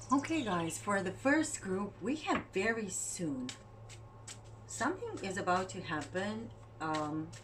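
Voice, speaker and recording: Noticeable background noise and audible room echo fill the recording. A woman's voice swings very widely in pitch. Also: medium pitch for a woman, fairly slow pace. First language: not English. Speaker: tarot reader. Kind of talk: tarot reading. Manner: halting.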